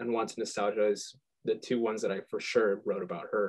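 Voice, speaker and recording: In a Midwestern US accent, the speaker talks at a moderate pace with ordinary pitch variation. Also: man. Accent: US Midwest. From Michigan, US. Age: 20s. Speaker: musician. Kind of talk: interview. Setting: video call. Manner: halting, stuttering.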